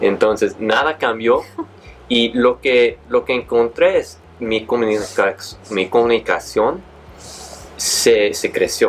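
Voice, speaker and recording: There is noticeable background noise as a man talks at a very slow pace. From San Diego, California. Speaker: transformational coach and author. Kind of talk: interview. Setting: studio. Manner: halting.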